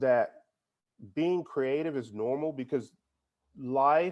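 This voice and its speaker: A man speaks with an American accent and ordinary pitch variation. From San Antonio, Texas. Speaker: music teacher and music store owner. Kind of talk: interview answer.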